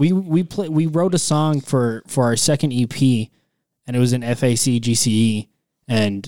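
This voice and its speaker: On a very clean recording with a silent background, a man with an unremarkable speaking voice talks at medium pitch with ordinary pitch variation. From Texas, El Paso. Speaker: rock band guitarist. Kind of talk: casual chat.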